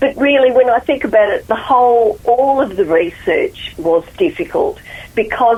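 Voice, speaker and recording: A woman with an Australian accent speaks at a moderate pace in a high voice, her pitch swinging very widely. Noticeable background noise runs underneath. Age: 70s. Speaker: author. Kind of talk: radio interview.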